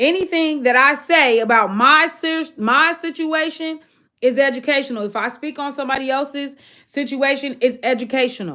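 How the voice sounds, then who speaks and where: On a very clean recording with a silent background, a woman speaks at a moderate pace in a raised, projected voice, animated and bright and sharp in tone, with high pitch and ordinary pitch variation. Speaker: livestream host. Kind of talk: casual livestream rant.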